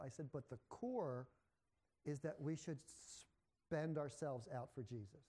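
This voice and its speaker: Somewhat breathy, a man speaks at a fairly high pitch in a dark, mellow tone with ordinary pitch variation. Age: 60s. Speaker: pastor. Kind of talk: sermon.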